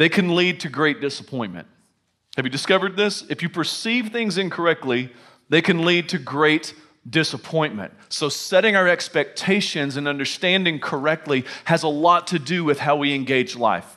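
In a quiet setting, a man's bright, sharp tone carries ordinary pitch variation. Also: moderate pace. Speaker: pastor preaching. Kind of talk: sermon. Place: hall.

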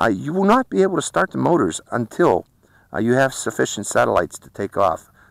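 A man speaks at a medium pitch with vocal fry. The sound is dry, with no echo. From Pittsburgh, US. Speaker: drone reviewer YouTuber; drone reviewer. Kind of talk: product review and flight test narration. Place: open country. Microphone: phone near.

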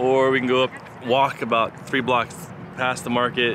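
A man is heard in a dry sound with no echo. Noticeable background noise runs underneath. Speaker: family travel vlogger. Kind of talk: casual vlog chat. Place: waterside. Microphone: phone near.

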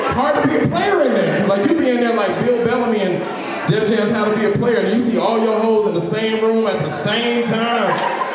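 Moderate-paced speech with hardly any pauses and ordinary pitch variation, in strong room echo with crowd noise in the background. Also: man. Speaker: stand-up comedian. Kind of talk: stand-up comedy set. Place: bar. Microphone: handheld.

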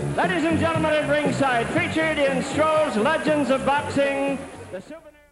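Clear music plays in the background while a man speaks at a moderate pace. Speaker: ring announcer. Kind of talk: boxing ring announcement. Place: stadium.

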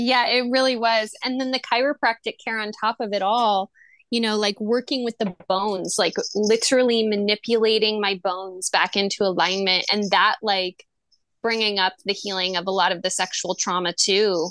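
Pitched fairly high, a woman with an ordinary speaking voice talks at a moderate pace with fairly even intonation. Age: 30s. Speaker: mental health counselor and poet. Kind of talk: casual chat.

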